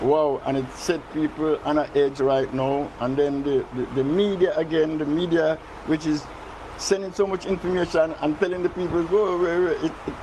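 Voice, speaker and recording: Speaking in a Jamaican accent, a man with a fairly high pitch keeps a moderate pace and ordinary pitch variation against noticeable background noise. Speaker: resident interviewed. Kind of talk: news interview.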